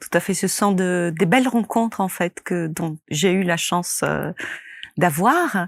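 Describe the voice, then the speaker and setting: This woman's voice sits fairly low in pitch, with ordinary pitch variation. She speaks at a very slow pace. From Italy. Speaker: movement therapist and method creator. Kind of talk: interview. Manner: hesitant, with many fillers.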